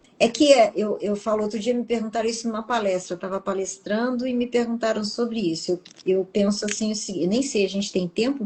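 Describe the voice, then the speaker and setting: With ordinary pitch variation, a woman speaks in a somewhat breathy voice at a fairly high pitch. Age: 60s. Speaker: TV professional and public speaker, interviewee. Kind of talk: interview.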